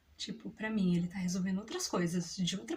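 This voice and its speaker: This woman's voice comes across as somewhat breathy. She speaks at a fairly quick pace. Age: 30s. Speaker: mother. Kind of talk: personal story told to camera. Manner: casual, conversational.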